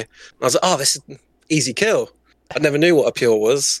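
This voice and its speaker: In a southern English accent, a man speaks with a dry, close sound and no echo. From southern England. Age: 20s. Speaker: Twitch streamer and gamer. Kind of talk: casual chat.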